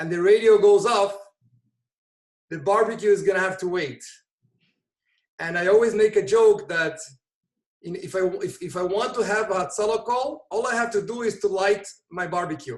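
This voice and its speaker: A man with a high voice speaks at a moderate pace with ordinary pitch variation, leaving long, frequent pauses. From Brazil. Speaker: volunteer EMT and emergency service director. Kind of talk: interview conversation.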